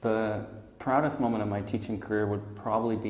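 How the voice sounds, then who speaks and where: In a Canadian accent, a man with a fairly low pitch sounds somewhat breathy, and room echo can be heard. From Montreal, Canada. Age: 30s. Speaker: English teacher. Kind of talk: job interview. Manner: hesitant, many fillers.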